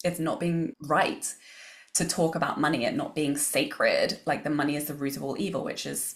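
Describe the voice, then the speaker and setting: A woman speaks with an English accent at a fairly quick pace. Her pitch is fairly low and her intonation lively. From England. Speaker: business coach and author. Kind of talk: podcast interview.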